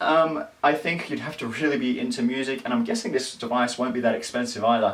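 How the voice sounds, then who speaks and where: A man in an Australian accent at a fairly quick pace, with very wide pitch swings and noticeable background noise. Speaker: tech vlogger. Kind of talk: casual tech news vlog. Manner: fast; animated.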